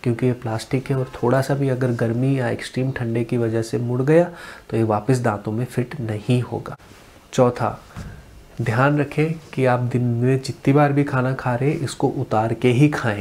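A man's fairly slow delivery with fairly even intonation. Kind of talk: tutorial.

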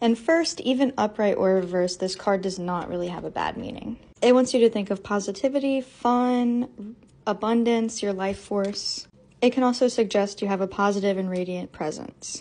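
A woman with a dark, mellow tone speaks at a moderate pace with ordinary pitch variation. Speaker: tarot content creator. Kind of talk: tutorial. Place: home room.

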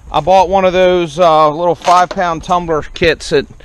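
A man is heard in a dry sound with no echo. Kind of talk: casual vlog chat. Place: garden. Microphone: phone near.

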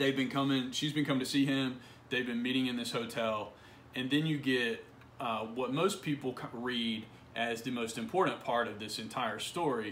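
There is light background noise as a man speaks at medium pitch. His pace is moderate and his intonation fairly even. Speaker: college literature instructor. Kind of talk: literary audiobook reading, a passage from the story read aloud within a lecture. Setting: recorded video lesson for an online course. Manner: measured, even, read-aloud pacing with a gentle, reflective tone; informal, conversational and explanatory in the surrounding lecture. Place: home room. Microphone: phone near.

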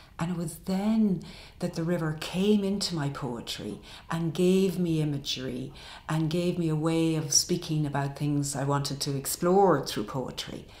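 A woman talks with a very deep, low pitch and ordinary pitch variation. The room echo is audible. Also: moderate pace. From Ireland. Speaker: poet. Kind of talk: interview answer. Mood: warm, reflective. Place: home room.

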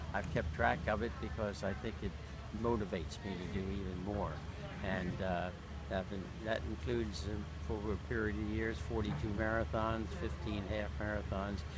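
A man with an American accent talks at a moderate pace in a dry sound with no echo. Loud background noise runs underneath. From Maryland, USA. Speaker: marathon runner. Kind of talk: interview answer. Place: garden. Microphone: phone near.

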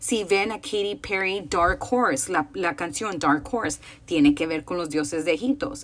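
A woman speaks with a fairly low pitch and lively intonation. Her pace is fairly slow. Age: 30s. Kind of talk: casual chat; casual talk on faith. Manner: informal, with many fillers. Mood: calm, earnest, reflective. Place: home room. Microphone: phone near.

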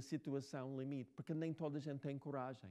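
Against a quiet background, a man with an English accent speaks at a fairly high pitch with a dark, mellow tone. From United States. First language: English (speaking Portuguese). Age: 60s. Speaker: novelist. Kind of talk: talk and Q&A with students. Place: hall.

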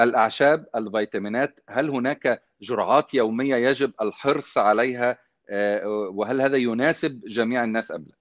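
The background stays quiet. A man speaks fairly slowly, his pitch varying in an ordinary way. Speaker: TV presenter. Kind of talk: interview questions, broadcast. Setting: studio, guest on remote link. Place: home room. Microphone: earbuds.

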